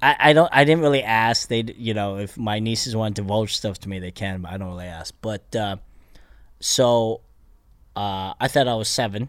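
A man with an American accent speaks in an ordinary speaking voice, fairly low in pitch, at a moderate pace with ordinary pitch variation. His loudness swings widely on a very clean recording with a silent background. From Pennsylvania, US (Bethlehem). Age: 40s. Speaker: stand-up comedian. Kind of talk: casual chat.

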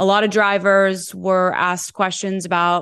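Against a quiet background, a woman speaks at a moderate pace and a medium pitch. It is a plain, everyday voice. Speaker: podcast host. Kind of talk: casual podcast chat.

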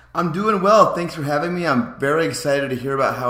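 A man talks with lively intonation while noticeable noise fills the background. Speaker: basketball podcaster. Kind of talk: casual sports chat.

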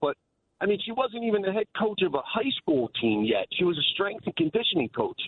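Someone with a New York accent speaks at a fairly quick pace, with very wide pitch swings. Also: man. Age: 40s. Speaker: caller. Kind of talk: call-in radio. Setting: phone call.

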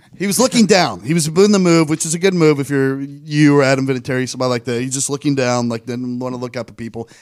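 A man talks at a very fast pace, with hardly any pauses, in a fairly high voice. His pitch varies in an ordinary way, while his loudness swings widely. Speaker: podcast co-host. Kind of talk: casual chat.

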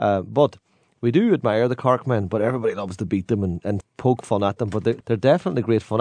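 Fast-talking at a very fast pace, a man with a Donegal accent uses a fairly low pitch and ordinary pitch variation. The sound is dry and close, with no echo. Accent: Donegal Irish. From Ireland, County Donegal. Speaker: singer of traditional Irish ballads. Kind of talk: casual chat.

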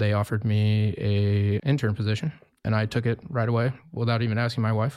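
In a very clean recording with a silent background, a man with an ordinary speaking voice talks at a fairly quick pace in a fairly low pitch, with very even loudness and fairly even intonation. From US Mountain West (Wyoming). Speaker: winemaker. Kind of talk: interview.

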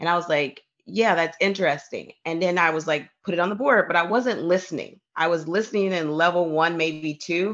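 Energetic in tone, a woman speaks at a moderate pace with a fairly low pitch and ordinary pitch variation. The background is quiet. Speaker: professional coach and leadership consultant. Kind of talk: casual interview conversation.

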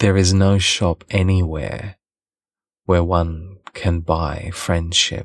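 At a very slow pace, a man speaks in a very deep, low pitch with monotone, flat intonation on a very clean recording with a silent background. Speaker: audiobook narrator. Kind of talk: literary audiobook reading.

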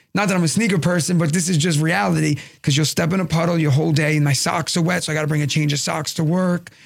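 A man with a New York accent, fairly high-pitched, talking very fast with hardly any pauses and fairly even intonation. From Brooklyn, New York. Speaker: comedian. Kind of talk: casual chat.

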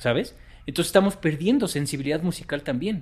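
A man's fairly high voice, somewhat breathy, at a fairly quick pace with ordinary pitch variation. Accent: Mexican. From Mexico. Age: 40s. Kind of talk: interview.

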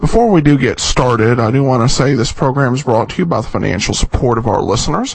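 Over noticeable background noise, a man talks at a very fast pace with hardly any pauses, medium pitch and ordinary pitch variation. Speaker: podcast host of old-time radio show. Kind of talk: casual host intro and outro, informal commentary. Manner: conversational, hesitant with many filler words.

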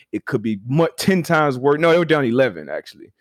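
A man talks in a normal speaking voice at a fairly quick pace, with ordinary pitch variation. The recording is very clean with a silent background and a dry, close sound with no echo. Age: 30s. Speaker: former football player, podcast host. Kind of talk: casual chat.

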